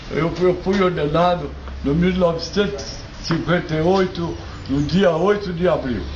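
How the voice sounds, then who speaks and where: A man speaks at a fairly slow pace with a high pitch and fairly even intonation. The room echo is audible and background noise is noticeable. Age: 80s+. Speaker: retired church elder. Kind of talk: testimony.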